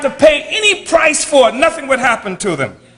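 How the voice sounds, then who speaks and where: A man with an American accent, his voice raised and projected at an extremely high pitch, at a moderate pace over noticeable background noise. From United States. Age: 70s. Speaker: political activist leader. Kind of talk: speech.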